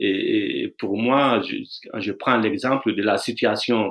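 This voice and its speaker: This man talks at a medium pitch. His intonation stays fairly even. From Burkina Faso, near Bobo-Dioulasso. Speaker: dancer and choreographer. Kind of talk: interview. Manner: halting, with repetitions.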